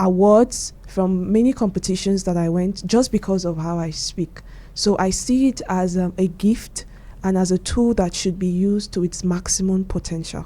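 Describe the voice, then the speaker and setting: A medium-pitched woman's voice with a dark, mellow tone, fairly even intonation and a moderate pace. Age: 20s. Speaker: radio trainee and social media host. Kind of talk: radio interview.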